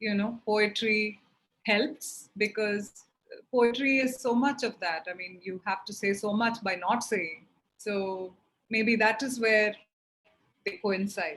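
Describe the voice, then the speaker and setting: A woman with a fairly high voice talks at a very slow pace, leaving long, frequent pauses, and her pitch varies in an ordinary way. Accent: Keralan. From India, grew up in Chennai (Tamil Nadu). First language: Malayalam. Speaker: poet and translator. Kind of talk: interview in online poetry reading. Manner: halting, many fillers.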